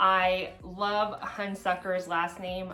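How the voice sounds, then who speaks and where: A woman's flat, monotone voice sounds with audible room echo. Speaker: MMA fan vlogger. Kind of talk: casual vlog commentary.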